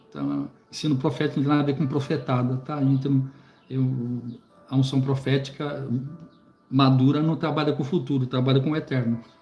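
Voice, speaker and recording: A man speaks at medium pitch and a moderate pace, his tone dark, mellow and somewhat breathy. His intonation is monotone and flat, broken by long, frequent pauses. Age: 60s. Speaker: preacher and Bible teacher. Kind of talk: live stream book commentary. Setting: live stream on YouTube. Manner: halting, many repetitions and fillers.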